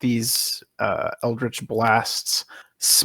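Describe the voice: The speaker reads aloud plainly while the background stays quiet.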